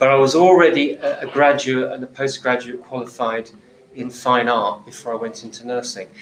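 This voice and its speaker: A man speaks at a moderate pace with a southern English accent and a medium pitch. His pitch varies in an ordinary way, and there is noticeable background noise. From southern England. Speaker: nurse, healthcare speaker. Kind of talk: talk to live audience.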